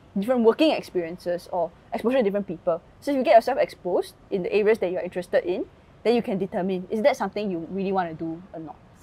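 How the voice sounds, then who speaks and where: Lively intonation carries a dark, mellow tone delivered at a very fast pace. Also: woman. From Singapore. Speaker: content creator and tech worker; content creator. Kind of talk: interview conversation. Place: garden. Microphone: lapel.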